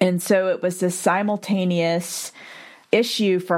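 On a very clean recording with a silent background, a woman with an unremarkable speaking voice talks at a fairly low pitch and a fairly slow pace. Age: 40s. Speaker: podcast host and heart surgery survivor. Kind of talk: interview podcast.

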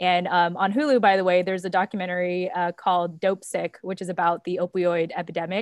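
A woman speaks in a plain, everyday voice at a medium pitch and a fairly quick pace. Her intonation is fairly even, and the sound is dry and close with no echo. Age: 30s. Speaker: entrepreneur and podcaster, military spouse. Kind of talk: casual chat.

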